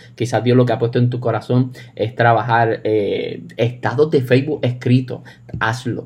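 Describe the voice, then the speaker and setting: A man's medium-pitched, somewhat breathy voice moves at a moderate pace. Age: 20s. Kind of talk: casual chat. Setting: remote recording.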